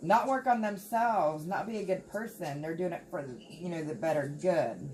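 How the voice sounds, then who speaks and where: A woman with an American accent speaks with ordinary pitch variation against noticeable background noise. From Appalachia, United States. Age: 40s. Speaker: tarot reader. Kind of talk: tarot reading talk to camera. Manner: casual, chatty.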